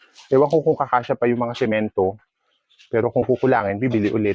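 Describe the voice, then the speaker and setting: A man rattles off his words very fast at a medium pitch, his intonation fairly even. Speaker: vlogger and dog owner. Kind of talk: casual vlog narration.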